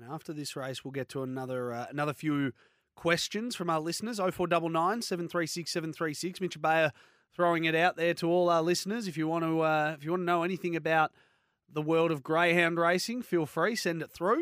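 Here a man speaks with an Australian accent. His voice sits at a high pitch. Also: ordinary pitch variation, very clean recording, silent background. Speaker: radio racing show host. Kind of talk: casual radio chat. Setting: studio.

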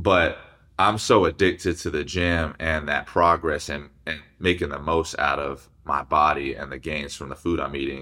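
Bright, sharp tone with vocal fry, fairly even intonation, an American accent and a moderate pace. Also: man, very deep, low pitch for a man, very clean recording, silent background. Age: 20s. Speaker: fitness influencer and former college football player. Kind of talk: casual interview.

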